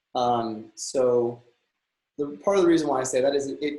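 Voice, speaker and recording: At a moderate pace, a man talks in a medium pitch with an American accent. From Texas, Houston. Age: 30s. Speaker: real estate broker and former actor. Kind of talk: interview. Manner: hesitant, many fillers.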